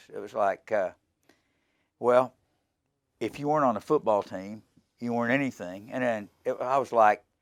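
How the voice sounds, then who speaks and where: A man with a medium-pitched voice speaks at a moderate pace with ordinary pitch variation, leaving long, frequent pauses, in a very clean recording with a silent background. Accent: American. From US South, Arkansas near Memphis. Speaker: rock guitarist. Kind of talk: casual interview.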